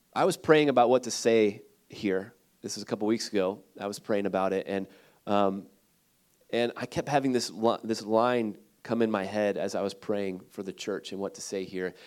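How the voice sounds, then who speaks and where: The recording is very clean, with a silent background. A man with a fairly low pitch and a Midwestern American accent speaks at a moderate pace. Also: fairly even intonation. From Ohio, Cleveland area. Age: 30s. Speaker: missionary. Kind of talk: sermon. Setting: church.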